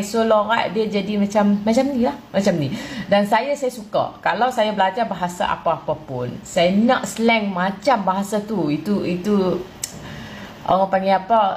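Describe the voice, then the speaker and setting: With noticeable background noise, a woman in a northern Malaysian accent speaks at a fairly slow pace and medium pitch, with ordinary pitch variation. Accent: northern Malaysian (Kedah-like) Malay. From southern Thailand. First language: Thai (speaking Malay). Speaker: Thai Malay speaker interviewed. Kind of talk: casual chat answering viewer question. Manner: halting with repetitions.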